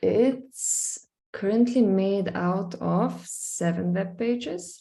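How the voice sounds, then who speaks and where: Somewhat breathy and dark, mellow in tone, the voice carries a Slovenian accent and ordinary pitch variation. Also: woman. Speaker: visual artist. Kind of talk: screen-share presentation. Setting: live stream, screen sharing. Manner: hesitant, many fillers.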